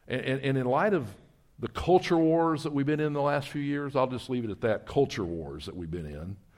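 Very clean and silent in the background, this recording has a man speaking at a moderate pace. He talks in a Southern US accent with very wide pitch swings. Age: 60s. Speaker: missions ministry leader. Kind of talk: sermon. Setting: church.

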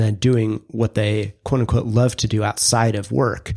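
A man at a moderate pace and medium pitch, with an unremarkable speaking voice. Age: 40s. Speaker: podcast co-host, brand strategist. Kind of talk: casual interview about career story.

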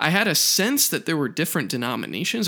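The man's tone is bright and sharp. He moves along at a fairly quick pace. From rural US. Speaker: podcast host. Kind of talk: solo monologue.

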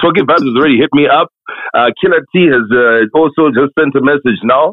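Very fast and very even in loudness, a man talks at a fairly high pitch. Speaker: actor and radio presenter. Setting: phone call. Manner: soft-spoken.

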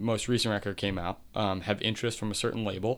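A man speaks in an American accent at a moderate pace. His tone is bright and sharp, with fairly low pitch. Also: very clean recording, silent background. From Delaware County, Pennsylvania. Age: 30s. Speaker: punk musician. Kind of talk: casual interview.

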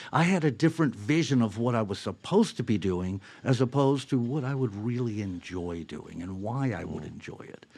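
An ordinary speaking voice at a fairly quick pace, with lively intonation, big swings in loudness and hardly any pauses. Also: man, medium pitch for a man. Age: 60s. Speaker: singer-songwriter, band frontman. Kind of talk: interview.

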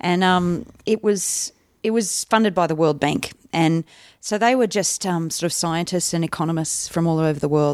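A woman with an Australian accent, fairly low in pitch, with ordinary pitch variation at a moderate pace on a very clean recording with a silent background. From Canberra, Australia (early childhood in India). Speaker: stand-up comedian. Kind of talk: casual interview chat.

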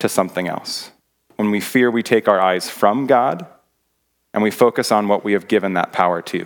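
A moderate pace and ordinary pitch variation in a very clean recording with a silent background. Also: man. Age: 30s. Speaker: middle school teacher and guest preacher. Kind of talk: sermon. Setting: church.

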